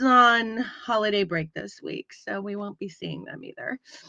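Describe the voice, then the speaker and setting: In an American accent, the voice is raised and projected, with a bright, sharp tone and lively intonation. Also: woman. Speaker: podcast co-host. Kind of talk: casual chat. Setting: live stream. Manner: animated.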